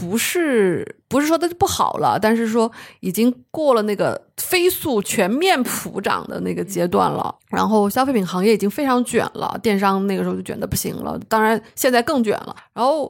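On a very clean recording with a silent background, a woman with fairly high pitch talks at a moderate pace with hardly any pauses and lively intonation. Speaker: insurance agent. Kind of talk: casual chat.

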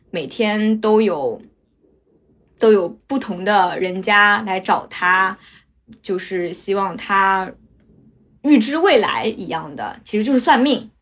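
Very slowly and with long, frequent pauses, a woman speaks at a medium pitch with ordinary pitch variation on a very clean recording with a silent background. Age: 20s. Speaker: storyteller. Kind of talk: personal testimony.

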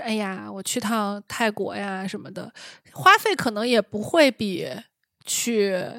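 A woman with an unremarkable speaking voice, fairly high in pitch, at a fairly slow pace, on a very clean recording with a silent background. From Shanxi. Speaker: podcast host. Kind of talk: casual chat.

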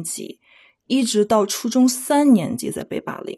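A woman's dark, mellow tone at a fairly slow pace over a quiet background. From Beijing, China. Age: 30s. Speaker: library technician. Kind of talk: personal testimony.

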